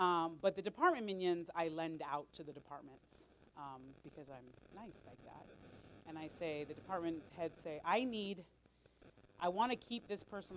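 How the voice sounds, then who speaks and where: A woman speaks loudly at a moderate pace in an American accent, her pitch fairly low with ordinary variation and her tone animated. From Los Angeles. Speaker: volunteer coordinator. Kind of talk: staff meeting talk. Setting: meeting room with audience, microphone.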